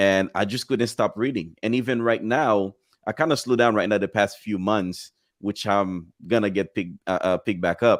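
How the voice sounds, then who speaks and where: The speech moves at a moderate pace with ordinary pitch variation. The recording is very clean and silent in the background, dry and close with no echo. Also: man, fairly low pitch for a man. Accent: slight non-native. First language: not English. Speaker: agency owner. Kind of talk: casual chat. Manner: halting.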